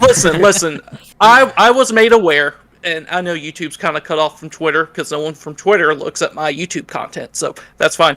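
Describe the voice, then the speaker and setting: The voice has a bright, sharp tone and a slight Southern US accent. It moves at a fairly quick pace, with lively intonation and big swings in loudness. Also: man, high pitch for a man. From US South. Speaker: YouTube content creator, podcast guest. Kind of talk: casual chat.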